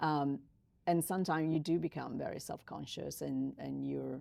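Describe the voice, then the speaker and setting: The speaker talks with an Italian accent at a moderate pace. The recording is very clean, with a silent background. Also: woman. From Italy. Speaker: podcast host. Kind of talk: interview.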